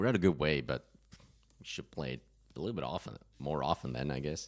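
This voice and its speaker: A man's very deep, low voice with vocal fry, at a very fast pace with ordinary pitch variation. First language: German. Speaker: gaming streamer. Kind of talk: live gameplay commentary. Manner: halting, frequent fillers.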